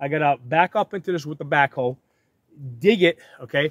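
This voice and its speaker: At a moderate pace, a man talks with ordinary pitch variation in a dry sound with no echo. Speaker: tractor owner. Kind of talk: casual explanatory vlog talk. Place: open country. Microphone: phone near.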